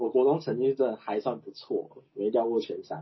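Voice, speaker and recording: Medium pitch, a moderate pace and lively intonation in a man's speech, a normal speaking voice. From Taiwan, Chiayi. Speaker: guest, manager. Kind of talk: casual chat.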